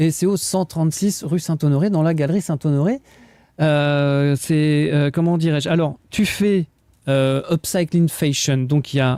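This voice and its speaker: A man with a fairly high pitch and dark, mellow tone, at a fairly slow pace, showing ordinary pitch variation and very even loudness. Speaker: radio host. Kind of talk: radio interview. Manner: halting.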